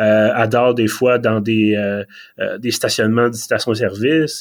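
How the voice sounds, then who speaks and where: With an ordinary speaking voice, a man talks at a moderate pace in a medium pitch, keeping his intonation fairly even. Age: 30s. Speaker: podcast host. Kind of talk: casual chat. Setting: remote video call.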